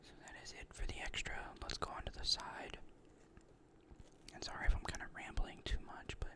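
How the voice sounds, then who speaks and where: A man whispers at a moderate pace with long, frequent pauses. His loudness swings widely. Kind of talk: ASMR card game deck discussion. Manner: whispered, rambling.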